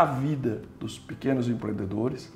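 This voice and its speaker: There is audible room echo around this man's voice. His tone is dark and mellow, with a somewhat breathy quality. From Brazil, interior of São Paulo state. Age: 60s. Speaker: entrepreneur and former city official. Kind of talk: interview conversation.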